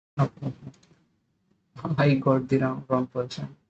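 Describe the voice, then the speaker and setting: A man speaks at a medium pitch, somewhat breathy, in a monotone, flat intonation. His pace is very slow and the sound is dry and close with no echo. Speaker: student live-streaming coding practice. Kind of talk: live stream coding tutorial with chat. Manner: hesitant, many fillers. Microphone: audio cracking.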